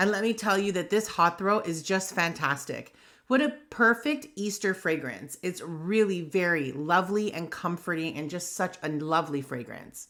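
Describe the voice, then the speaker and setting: Speaking in a New York accent with hardly any pauses, a woman sounds animated, with lively intonation, on a very clean recording with a silent background. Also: fairly low pitch for a woman, moderate pace. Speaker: craft channel host. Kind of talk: tutorial.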